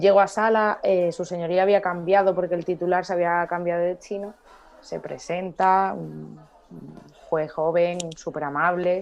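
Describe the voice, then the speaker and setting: Over background music, a woman with a fairly low pitch talks in a flat monotone, her loudness swinging widely. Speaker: lawyer. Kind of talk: casual chat. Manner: fast.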